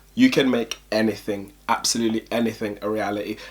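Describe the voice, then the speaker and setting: A man at a medium pitch, with a London accent, at a moderate pace. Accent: London multicultural English. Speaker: YouTuber. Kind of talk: casual vlog talk. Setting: at home at night. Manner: soft-spoken; low energy.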